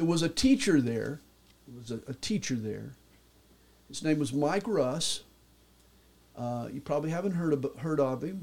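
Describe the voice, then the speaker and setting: With a Southern US accent, a man speaks at a fairly slow pace in a fairly high pitch, using lively intonation and long, frequent pauses. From US South, Atlanta, Georgia. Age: 60s. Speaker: pastor. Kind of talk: testimony.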